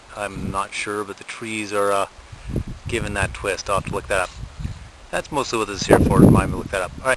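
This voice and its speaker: Speech comes at a very fast pace with ordinary pitch variation, broken by long, frequent pauses. Noticeable background noise is present. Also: man, fairly low pitch for a man. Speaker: hiking guidebook author. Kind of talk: on-trail field notes narration. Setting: outdoors on a hiking trail. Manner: hesitant, many fillers.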